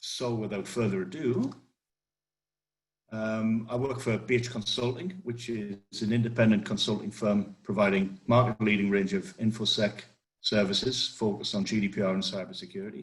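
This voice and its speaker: This man speaks at a moderate pace in a strong northeast English accent. His voice is somewhat breathy, with ordinary pitch variation. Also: fairly low pitch for a man. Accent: strong northeast English (Geordie-like). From northeast England. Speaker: cybersecurity consultant. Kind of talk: webinar presentation. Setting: online webinar.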